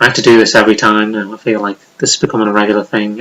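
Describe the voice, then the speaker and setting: Here a man talks very fast in a Liverpool accent. His fairly low voice has a bright, sharp tone and a monotone, flat intonation. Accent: Liverpool (Scouse) English. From Liverpool, England. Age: 30s. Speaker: YouTuber. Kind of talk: casual vlog monologue. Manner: rambling, unscripted with hesitations.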